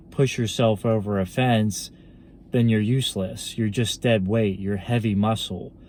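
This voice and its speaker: In a monotone, flat intonation, a man speaks with a fairly low pitch. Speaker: fitness vlogger. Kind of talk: casual monologue vlog. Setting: just back from the gym. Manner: halting, many fillers.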